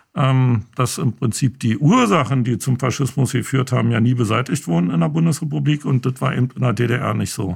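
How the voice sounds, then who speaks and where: A man with vocal fry and lively intonation at a fairly quick pace, with hardly any pauses. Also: medium pitch for a man. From East Berlin. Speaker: filmmaker. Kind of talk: interview. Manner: hesitant, many fillers.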